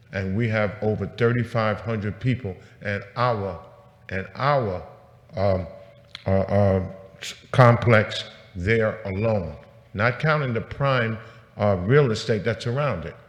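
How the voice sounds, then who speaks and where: A man talks at a very slow pace, with long, frequent pauses and noticeable background noise. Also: ordinary pitch variation. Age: 70s. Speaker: tenant association president speaking at public hearing. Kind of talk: public testimony. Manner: halting, repetitive fillers; impassioned.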